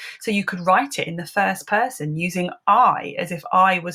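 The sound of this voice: Fairly even intonation marks the speaker's unforced reading voice.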